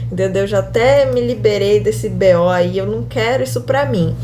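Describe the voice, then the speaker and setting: Noticeable background noise and audible room echo around a woman speaking at a moderate pace. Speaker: teacher. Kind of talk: lecture. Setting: video lesson. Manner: animated.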